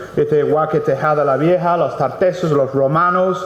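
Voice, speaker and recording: The speaker has an English accent and ordinary pitch variation. Noticeable background noise runs underneath. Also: man. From England. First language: English (speaking Spanish). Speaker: mining company project director. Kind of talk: impromptu speech at book presentation. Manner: halting, many fillers and repetitions.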